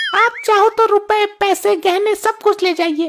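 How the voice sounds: Delivered at a moderate pace, this is a cartoonish character voice. The loudness stays very even, and the intonation is fairly even. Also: woman, extremely high pitch for a woman.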